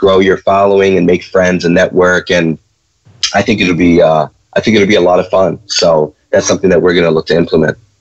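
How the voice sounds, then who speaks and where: With a Chicago accent, a man speaks fairly quickly in a very deep, low voice, keeping his intonation monotone and flat and his loudness very even. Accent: Chicago American. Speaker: trading educator, co-host. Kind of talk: live Q&A stream. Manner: hesitant, many fillers.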